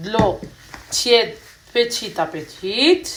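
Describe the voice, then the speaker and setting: A woman with a non-native accent at a very slow pace, amid noticeable background noise. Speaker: cooking vlogger. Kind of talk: cooking tutorial. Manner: hesitant, many fillers.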